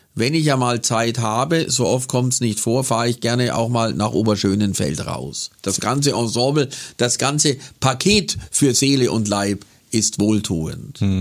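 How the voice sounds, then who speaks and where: A man speaks at a medium pitch and a fairly slow pace, with vocal fry and ordinary pitch variation. The recording is very clean, with a silent background. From Bavarian Swabia, Kaufering near Lech. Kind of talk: casual interview. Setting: studio.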